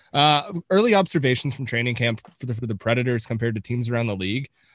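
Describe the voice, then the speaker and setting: This man has an unremarkable speaking voice at a medium pitch, with a Canadian accent and a fairly quick pace. The recording is very clean with a silent background, and the sound is dry and close with no echo. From Canada. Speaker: hockey podcast co-host. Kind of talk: casual chat.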